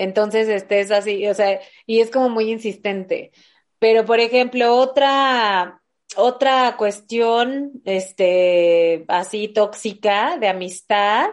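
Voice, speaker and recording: Speaking with a Mexican accent at a very slow pace, a woman keeps a fairly high pitch and very even loudness. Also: ordinary pitch variation. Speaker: podcast host. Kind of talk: casual chat.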